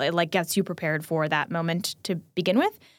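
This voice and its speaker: A woman talks at a fairly quick pace in a plain, everyday voice. She has an American accent and fairly even intonation. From New Jersey. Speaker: podcast producer and host. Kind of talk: casual chat.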